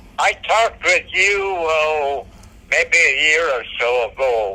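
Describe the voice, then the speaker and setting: Against noticeable background noise, a man speaks very slowly. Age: 90s. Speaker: Marine Corps veteran, patient. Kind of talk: interview. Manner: halting.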